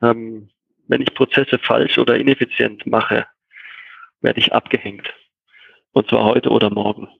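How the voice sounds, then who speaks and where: A man talks at a moderate pace with very even loudness. He leaves long, frequent pauses. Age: 40s. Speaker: software company co-founder and master painter. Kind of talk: interview.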